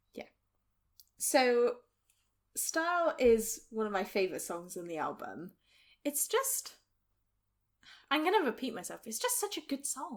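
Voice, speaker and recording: A woman with a high pitch speaks at a fairly slow pace, her pitch swinging very widely and her loudness shifting a lot, with long, frequent pauses. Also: very clean recording, silent background. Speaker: podcast co-host. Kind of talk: casual chat.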